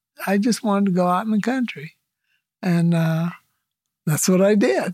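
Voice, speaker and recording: In an American accent, a woman of medium pitch sounds somewhat breathy. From Lemoore, California. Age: 70s. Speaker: retired teacher and farmer. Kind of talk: interview.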